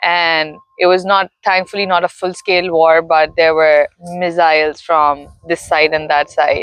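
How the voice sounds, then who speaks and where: A woman speaks at a fairly slow pace in a fairly low pitch, her loudness very even. Her intonation is monotone and flat. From Pakistan. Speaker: interviewee sharing personal story. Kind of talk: interview.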